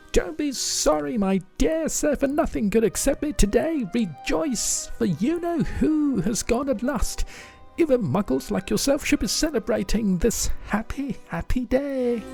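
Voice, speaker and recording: A squeaky, put-on character voice makes very wide pitch swings over clear music in the background. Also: man, extremely high pitch for a man, moderate pace. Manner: gleeful, effusive.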